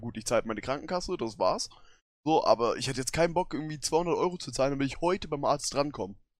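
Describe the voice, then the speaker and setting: Very fast and with lively intonation, a man speaks at a fairly high pitch in a very clean recording with a silent background. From northern Germany, Hamburg. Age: 20s. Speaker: podcast co-host. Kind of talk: casual chat.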